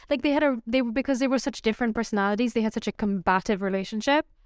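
A woman with a Pakistani accent talks very fast at a high pitch, with ordinary pitch variation. The recording is very clean and dry, close with no echo, and the background is silent. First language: Urdu. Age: 20s. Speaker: podcast co-host. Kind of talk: casual chat.

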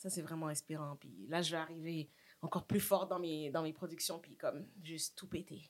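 Her pitch sits fairly low. This woman keeps a moderate pace. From Montreal (Saint-Michel), Quebec. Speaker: actress and social media personality. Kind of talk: casual chat. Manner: animated, laughs often.

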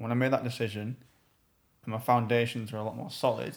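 The voice has vocal fry and fairly even intonation. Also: man. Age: 20s. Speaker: podcast co-host. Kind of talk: casual chat.

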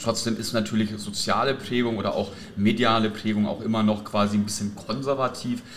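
A man of medium pitch at a moderate pace. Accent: slight southern German. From Franconia, Germany (near Nuremberg). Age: 40s. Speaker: youth football coach. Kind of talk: casual chat. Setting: hotel lobby. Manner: halting.

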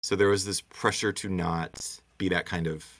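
With an American accent and a very deep, low pitch, a man speaks at a moderate pace with ordinary pitch variation in a very clean recording with a silent background. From Michigan (Muskegon). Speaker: theater professor. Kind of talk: interview.

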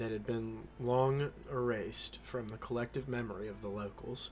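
A man with fairly even intonation uses a normal speaking voice, keeping a medium pitch and a moderate pace. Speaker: podcast host. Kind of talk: horror narration, reading creepypasta aloud. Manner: casual, chatty in intro.

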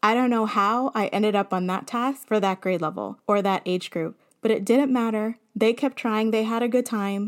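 Using a plain, everyday voice, a woman with a fairly high pitch speaks at a moderate pace with fairly even intonation and hardly any pauses. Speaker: podcast host and elementary teacher. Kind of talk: solo podcast monologue.

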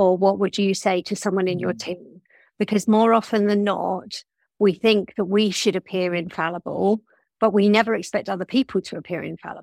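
A woman speaks at a moderate pace and a medium pitch. She has a plain, everyday voice. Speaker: people business partner. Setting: video call webinar.

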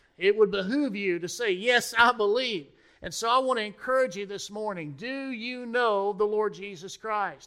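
A man speaks in a raised, projected voice with a high pitch. His loudness swings widely. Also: ordinary pitch variation, moderate pace. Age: 40s. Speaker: pastor. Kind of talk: sermon.

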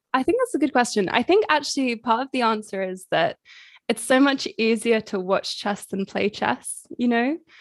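Delivered at a moderate pace, the voice has a dry, close sound with no echo in a very clean recording with a silent background. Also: woman. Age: 20s. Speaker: chess streamer. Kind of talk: casual interview.

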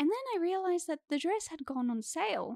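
Here a woman speaks with an Australian accent and very wide pitch swings. The recording is very clean with a silent background, and the sound is dry and close with no echo. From Sydney, Australia. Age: 20s. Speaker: actor. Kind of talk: casual chat.

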